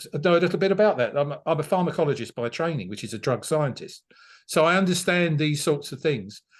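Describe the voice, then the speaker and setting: A very fast man's voice with a London accent, fairly high in pitch, with lively intonation, vocal fry and a quiet background. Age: 60s. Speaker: political candidate. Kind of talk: interview. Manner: halting, many fillers and repeats.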